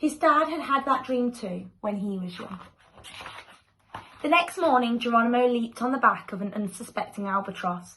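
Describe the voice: A woman with a fairly high pitch and fairly bright tone talks at a moderate pace with ordinary pitch variation.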